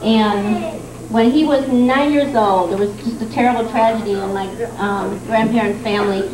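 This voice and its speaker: A woman's fairly high voice at a moderate pace, with fairly even intonation and noticeable background noise. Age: 50s. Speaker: daughter giving birthday tribute. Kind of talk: tribute speech. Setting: party with audience, microphone. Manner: halting.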